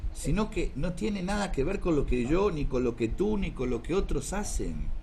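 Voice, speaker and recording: The intonation is lively and the loudness stays very even. There is audible echo from the room. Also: man, high pitch for a man, moderate pace. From South America. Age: 60s. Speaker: karate teacher. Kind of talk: talk.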